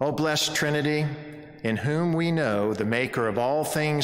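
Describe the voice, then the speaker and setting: Music plays in the background as a man talks at a fairly slow pace with ordinary pitch variation. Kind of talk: welcome announcements and read prayer. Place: church.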